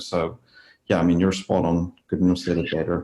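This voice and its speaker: A man talks at a moderate pace with a non-native accent. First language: not English. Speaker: disaster trauma researcher. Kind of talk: interview. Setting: podcast interview.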